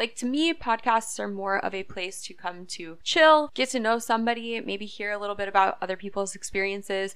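A woman with an American accent speaks at a fairly quick pace with hardly any pauses and ordinary pitch variation, in a plain, everyday voice on a very clean recording with a silent background. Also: medium pitch for a woman. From upstate New York. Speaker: social media manager and podcast host. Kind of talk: casual monologue.

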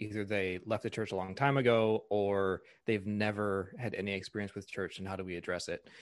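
Over a quiet background, a man with a fairly low pitch speaks at a fairly quick pace and with fairly even intonation. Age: 30s. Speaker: pastor. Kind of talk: casual interview.

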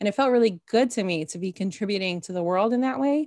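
A woman talks at a fairly quick pace in a normal speaking voice. The sound is dry and close with no echo, and her pitch varies in an ordinary way. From Canada, Toronto. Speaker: mind-body coach and podcaster. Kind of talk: interview conversation.

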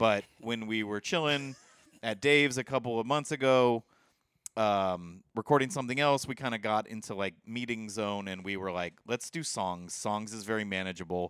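On a very clean recording with a silent background, a man talks in a normal speaking voice at medium pitch with ordinary pitch variation. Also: moderate pace. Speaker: podcast co-host. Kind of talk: casual chat. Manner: frequent filler words, relaxed.

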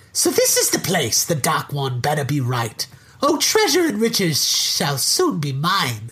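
The put-on character voice sits at a middle pitch. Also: moderate pace. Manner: scheming, gleeful.

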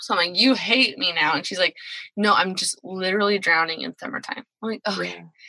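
A woman speaks fairly quickly at a medium pitch with ordinary pitch variation, in a dry, close sound with no echo. She has a plain, everyday voice. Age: 30s. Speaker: podcast producer. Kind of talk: casual chat.

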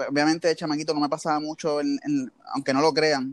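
Speaking very fast in a Puerto Rican accent, the voice sounds dry and close, with no echo. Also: man. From Puerto Rico, Levittown. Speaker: basketball team equipment manager. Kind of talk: interview. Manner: halting, many fillers.

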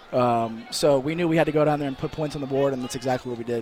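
Noticeable background noise surrounds a man with a fairly high pitch. His intonation stays fairly even. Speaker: college football player. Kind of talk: post-game interview. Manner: halting.

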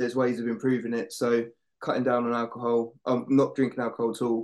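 At a very fast pace, a man of medium pitch talks in an Essex accent. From Essex, England. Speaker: paramedic. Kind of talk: casual chat.

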